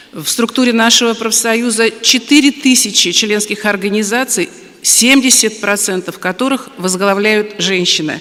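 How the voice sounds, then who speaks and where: A woman speaks at a moderate pace with hardly any pauses, her fairly high voice showing ordinary pitch variation over noticeable background noise. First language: Russian. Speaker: union women's committee representative. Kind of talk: prepared speech.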